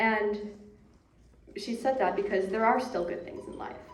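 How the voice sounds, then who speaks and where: A woman speaks at a fairly high pitch. Audible room echo and noticeable background noise surround her voice. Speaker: bereaved daughter. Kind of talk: eulogy.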